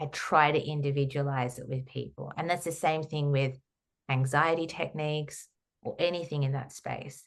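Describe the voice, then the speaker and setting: Very deep, low pitch from a woman at a moderate pace, with fairly even intonation and a quiet background. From Australia. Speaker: holistic counsellor and trauma therapist. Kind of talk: podcast interview.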